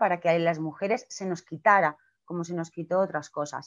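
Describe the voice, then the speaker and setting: The background is quiet as a woman talks at a moderate pace. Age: 40s. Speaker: clown and theatre director; speaker. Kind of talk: talk on a video call. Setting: video call. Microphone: video call.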